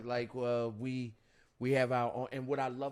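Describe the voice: A man's medium-pitched voice with a Baltimore accent, at a fairly slow pace. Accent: Baltimore city.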